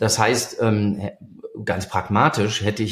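A somewhat breathy male voice. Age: 50s. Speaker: industry 4.0 consultant. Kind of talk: interview. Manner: hesitant with many fillers.

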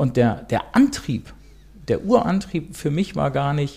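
A man with a fairly high pitch and vocal fry is heard on a very clean recording with a silent background. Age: 50s. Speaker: steel construction business owner. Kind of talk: interview. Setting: in person, across the table.

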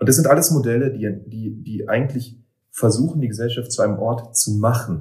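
A man with a medium pitch and ordinary pitch variation keeps a moderate pace while music plays in the background. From eastern Germany. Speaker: poet and author. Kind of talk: casual interview conversation. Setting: in person, recorded in Berlin.

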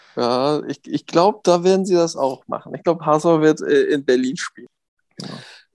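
A high-pitched man speaks with ordinary pitch variation and big swings in loudness, recorded with a dry, close sound and no echo. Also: moderate pace. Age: 30s. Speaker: football referee. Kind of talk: interview. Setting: video call.

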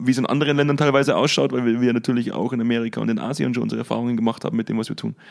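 A man speaks at a very fast pace with a slight Bavarian accent. His pitch is medium and his intonation fairly even. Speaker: podcast host and business consultant. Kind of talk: casual chat.

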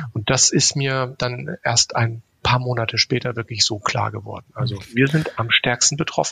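In a plain, everyday voice, a man speaks at a moderate pace with hardly any pauses, his medium pitch and fairly even intonation captured in a dry, close sound with no echo. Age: 50s. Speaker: education company executive. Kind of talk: podcast interview.

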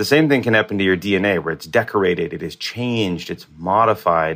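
In a very clean recording with a silent background, a man with a normal speaking voice talks at a fairly quick pace, his fairly low pitch carried by lively intonation. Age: 40s. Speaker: molecular biologist. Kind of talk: interview.

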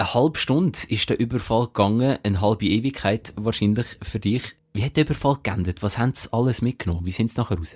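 Speaking at a very fast pace with hardly any pauses, a man with a Swiss accent sounds somewhat breathy at medium pitch, in a very clean recording with a silent background and a dry, close sound with no echo. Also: ordinary pitch variation. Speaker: podcast host. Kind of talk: casual interview.

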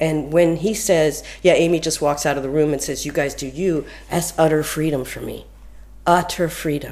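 A woman's fairly low voice with ordinary pitch variation, a moderate pace, and noticeable background noise. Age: 50s. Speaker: dancer and choreographer. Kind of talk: interview.

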